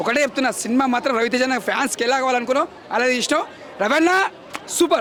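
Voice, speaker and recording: Very even loudness and ordinary pitch variation, with noticeable background noise. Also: man, extremely high pitch for a man. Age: 80s+. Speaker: moviegoer, fan. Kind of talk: street interview answer.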